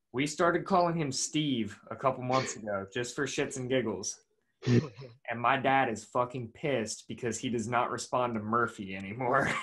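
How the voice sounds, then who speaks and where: A man with an American accent and a normal speaking voice, medium pitch, ordinary pitch variation and a moderate pace. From Pennsylvania, Lancaster County. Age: 20s. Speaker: podcast host. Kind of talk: casual interview chat. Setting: video call.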